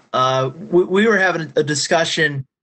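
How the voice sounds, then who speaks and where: A man with an American accent talks at a fairly slow pace in an ordinary speaking voice, his intonation lively. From Pennsylvania. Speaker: magazine staff, football official. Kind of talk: Q&A on a group call.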